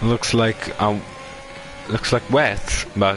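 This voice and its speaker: A man talks at a very slow pace with monotone, flat intonation. Noticeable background noise is present. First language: not English. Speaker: sim racing commentator. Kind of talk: live commentary.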